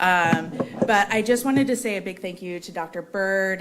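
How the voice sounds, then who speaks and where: A loud woman's voice at a medium pitch with ordinary pitch variation, audible room echo, and noticeable background noise. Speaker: foundation representative and melanoma survivor. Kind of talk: conference remarks. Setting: conference hall with audience and microphone.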